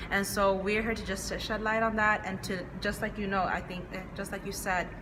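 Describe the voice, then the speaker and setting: A woman talks at a moderate pace in a medium pitch with monotone, flat intonation, amid noticeable background noise and audible room echo. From Chinese household upbringing. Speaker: podcast co-host. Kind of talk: casual chat.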